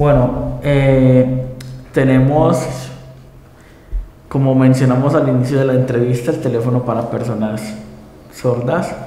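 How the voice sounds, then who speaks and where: Monotone and flat, a man's medium-pitched voice moves at a fairly slow pace with long, frequent pauses, amid audible room echo and noticeable background noise. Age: 20s. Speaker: lawyer, blind interviewee. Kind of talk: TV interview. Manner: halting, with fillers.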